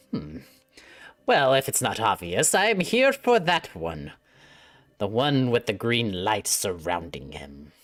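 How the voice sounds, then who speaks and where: A man's put-on character voice at a medium pitch, with very wide pitch swings, a fairly slow pace and long, frequent pauses. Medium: actual play. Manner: calm, condescending, chuckling.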